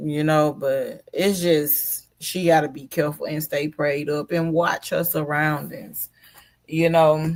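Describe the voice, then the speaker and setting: Very slow speech in an Alabama accent. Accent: Southern US (Alabama). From US South, Mobile, Alabama. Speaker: live streamer. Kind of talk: casual live stream commentary. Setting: live stream.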